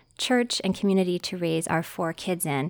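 Her voice is a normal speaking voice at medium pitch for a woman. The recording is very clean, with a silent background. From West Virginia. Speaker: church member sharing mental health struggle. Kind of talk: interview testimony.

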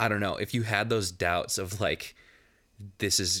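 A man talks at a moderate pace with fairly even intonation in a normal speaking voice. The recording is very clean, with a silent background. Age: 20s. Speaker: podcast host. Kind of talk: casual chat. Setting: studio.

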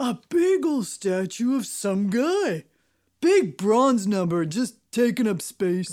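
The voice has a fairly high pitch. Its pace is fairly slow. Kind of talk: comic double act. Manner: jovial, breezy comic patter.

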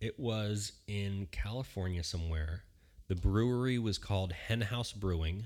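This is a very clean recording with a silent background. A man with an American accent and a fairly low pitch speaks at a fairly slow pace with ordinary pitch variation. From Philadelphia area, Pennsylvania. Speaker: aspiring beer sommelier, educator. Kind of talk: casual interview chat. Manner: halting, many fillers.

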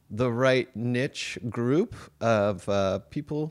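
A man speaks at medium pitch with lively intonation. The recording is very clean, with a silent background. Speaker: stand-up comedian. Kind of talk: casual chat. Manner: hesitant, filler-heavy.

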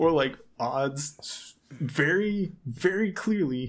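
Fairly high male voice, its pitch varying in an ordinary way. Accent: American. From Southern California. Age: 20s. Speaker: podcast guest. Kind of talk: casual chat.

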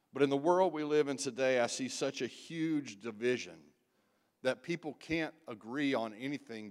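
A man with a normal speaking voice at medium pitch talks at a moderate pace with ordinary pitch variation, in a very clean recording with a silent background. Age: 60s. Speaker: guest preacher, church member. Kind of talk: sermon. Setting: church.

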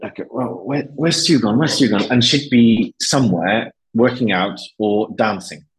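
A man with a Welsh accent talks at a fairly quick pace. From Wales. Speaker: business executive and university lecturer. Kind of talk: interview conversation.

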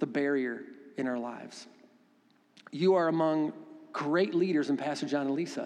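Animated in tone, a man speaks at a moderate pace with lively intonation and a fairly high pitch. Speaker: pastor. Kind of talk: sermon. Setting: church. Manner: animated, preacherly.

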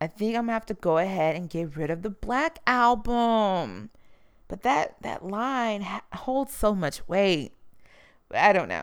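In an American accent, a woman at medium pitch speaks at a fairly slow pace with lively intonation and an animated tone. The recording is very clean, with a silent background. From Texas, Houston. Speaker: podcast host. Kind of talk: solo commentary podcast.

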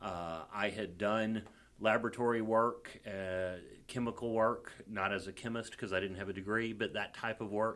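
Speaking in a strong Southern US accent, a man holds a fairly low pitch with monotone, flat intonation. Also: moderate pace. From Mississippi. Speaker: comedian and defense attorney. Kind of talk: casual chat.

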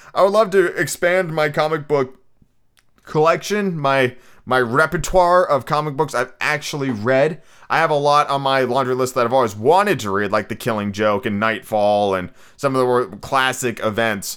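At a moderate pace, a man with medium pitch uses lively intonation on a very clean recording with a silent background. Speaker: podcast host. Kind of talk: casual monologue. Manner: chatty.

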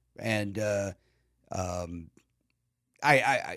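A man speaks with a Chicago accent in an animated tone. The recording is very clean, with a silent background. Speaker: comedian. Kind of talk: casual chat. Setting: studio.

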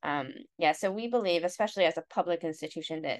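An ordinary speaking voice with an American accent moves at a fairly quick pace over a quiet background. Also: woman. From US Midwest, Ohio (Cleveland area). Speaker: professor. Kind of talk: interview conversation.

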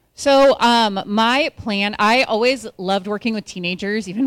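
The speaker has a normal speaking voice with an American accent and ordinary pitch variation. The pace is moderate. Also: woman. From California (Orville area). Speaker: marriage and family therapist. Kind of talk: interview on stage.

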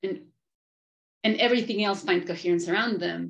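A woman speaks with a Spanish accent. Her voice has vocal fry. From Argentina. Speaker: professor and podcast host. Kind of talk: interview. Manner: halting, many fillers.

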